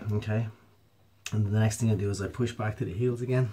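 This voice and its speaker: A calm man speaks at a fairly quick pace in a somewhat breathy, fairly low voice with ordinary pitch variation. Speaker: mobility and yoga instructor. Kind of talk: exercise tutorial instruction. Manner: calm, hesitant with filler words.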